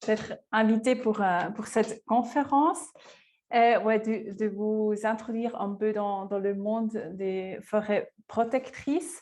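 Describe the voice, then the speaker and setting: A woman with a Swiss German accent speaks very slowly at a fairly high pitch, her pitch varying in an ordinary way. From Switzerland, Lucerne. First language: Swiss German (speaking French). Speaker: forest researcher. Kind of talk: lecture. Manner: halting, many hesitations.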